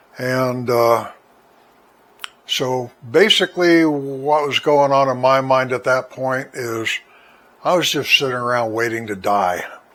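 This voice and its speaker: Noticeable background noise sits behind a man's voice. He speaks at a fairly slow pace with fairly even intonation. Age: 70s. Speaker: senior life vlogger. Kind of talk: personal testimony monologue. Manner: halting, with frequent fillers and repeats.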